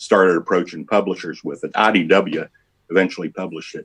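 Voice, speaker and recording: Speaking in an American accent, the man has a fairly low pitch. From West Virginia. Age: 60s. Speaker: comic book artist. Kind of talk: interview. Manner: halting.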